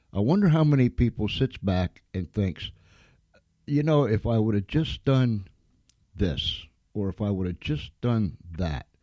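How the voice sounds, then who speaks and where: A man with an American accent speaks in a dark, mellow tone at a fairly low pitch, with very wide pitch swings. His pace is fairly slow with long, frequent pauses, and the sound is dry and close with no echo. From Pennsylvania, US. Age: 70s. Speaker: internet radio host. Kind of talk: interview on internet radio.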